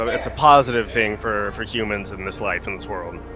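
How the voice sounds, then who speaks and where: Fairly quick speech from a man, backed by music. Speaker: podcast co-host. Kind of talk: casual chat. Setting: live stream. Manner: monotone.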